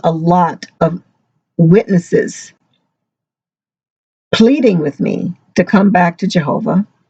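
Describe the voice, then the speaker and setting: Dry and close with no echo, a woman's fairly low voice comes across dark, mellow and somewhat breathy. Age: 60s. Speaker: ex-Jehovah's Witness vlogger. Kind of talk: personal testimony vlog. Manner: halting.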